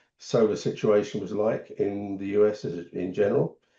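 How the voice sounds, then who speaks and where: English accent on a man's voice. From England. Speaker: solar business founder. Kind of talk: podcast interview.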